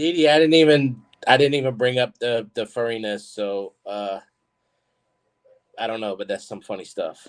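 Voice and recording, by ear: A man talks at a moderate pace with medium pitch. His intonation is fairly even.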